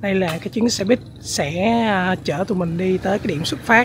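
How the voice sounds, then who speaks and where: A man at a fairly slow pace with ordinary pitch variation, dry sound with no echo, and light background noise. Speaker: travel vlogger. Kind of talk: casual vlog chat. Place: garden. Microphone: phone near.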